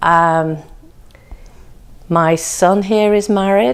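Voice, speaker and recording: Here a woman speaks with an English accent. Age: 70s. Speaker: family history narrator. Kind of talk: personal reminiscence. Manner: halting.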